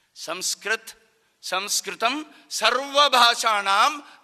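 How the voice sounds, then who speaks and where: The voice is raised and projected, with lively intonation. It carries a Konkani accent. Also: man. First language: Konkani (speaking Hindi). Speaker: Sanskrit activist speaker. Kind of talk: public speech. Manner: formal.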